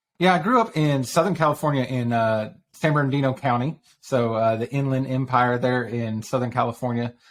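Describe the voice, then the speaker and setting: A man with a Texas accent at medium pitch, at a fairly quick pace with hardly any pauses and ordinary pitch variation. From Texas (Dallas-Fort Worth area). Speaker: online community founder. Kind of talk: podcast interview. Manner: casual.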